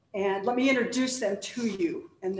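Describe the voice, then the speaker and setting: High-pitched woman at a fairly slow pace, ordinary pitch variation, audible room echo. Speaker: panel host introducing speakers. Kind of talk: formal introduction speech. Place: stage. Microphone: podium.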